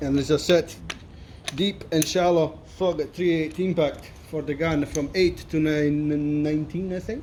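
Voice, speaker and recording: Someone speaks at a fairly slow pace with an Italian accent and fairly even intonation. Noticeable background noise is present. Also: man, fairly high pitch for a man. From Italy, near Salerno. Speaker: mechanic. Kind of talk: tutorial. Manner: casual.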